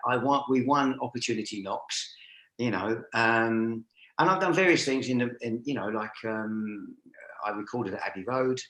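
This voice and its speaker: Here a man talks at a moderate pace with a medium pitch and ordinary pitch variation. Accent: London. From North London, Stoke Newington. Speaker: driving instructor trainer. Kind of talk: interview. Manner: hesitant, many fillers.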